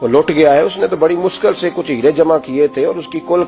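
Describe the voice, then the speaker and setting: A man is speaking. Music plays in the background. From Pakistan. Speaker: Islamic scholar and preacher. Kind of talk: religious sermon.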